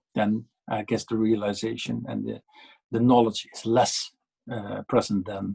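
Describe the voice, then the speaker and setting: Recorded in a dry, close sound with no echo, a man speaks at a fairly slow pace. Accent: Dutch. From Netherlands. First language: Dutch. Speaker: policy panelist. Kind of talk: panel discussion. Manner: halting, many fillers and repetitions.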